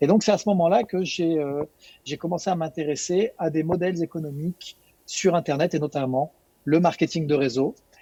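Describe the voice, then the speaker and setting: This man has a high pitch and a dark, mellow tone, talking at a moderate pace with ordinary pitch variation in a dry, close sound with no echo. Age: 40s. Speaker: network marketing distributor. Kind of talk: webinar presentation. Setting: online webinar with screen share.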